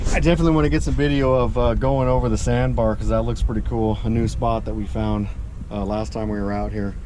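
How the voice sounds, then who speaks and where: A man speaks at a very fast pace over noticeable background noise, with audible room echo. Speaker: boating vlogger. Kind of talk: casual vlog. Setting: outdoors at a lake. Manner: halting, many fillers.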